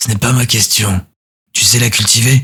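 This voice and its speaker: Putting on a raspy character voice, a man speaks at a moderate pace with a medium pitch. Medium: read story. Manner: terse, flat, clipped.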